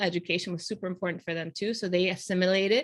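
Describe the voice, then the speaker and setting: Speaking at a very fast pace, a woman talks with a Spanish accent. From Panama, moved to US at nine. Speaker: podcast host. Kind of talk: casual conversation.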